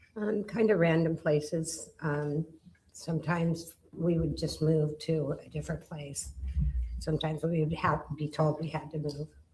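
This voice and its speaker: Over noticeable background noise, a woman with a very deep, low pitch speaks at a moderate pace in a monotone, flat intonation. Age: 60s. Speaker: witness, stabbing survivor. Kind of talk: witness testimony. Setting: courtroom. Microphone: too far from the mic at first.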